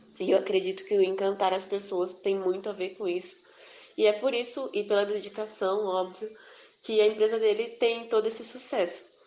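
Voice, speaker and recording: Noticeable background noise runs under the recording. A woman speaks at a medium pitch with fairly even intonation. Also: moderate pace. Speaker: podcast host, student. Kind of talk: interview.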